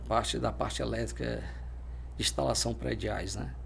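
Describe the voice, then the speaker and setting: Audible room echo surrounds a man's voice. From Brazil, Fortaleza, Ceará. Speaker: military police officer. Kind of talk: interview. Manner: halting.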